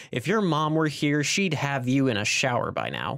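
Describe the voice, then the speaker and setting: A man does a put-on character voice at a fairly high pitch. His pace stays moderate. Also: ordinary pitch variation. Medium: read story. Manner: cheery, warm.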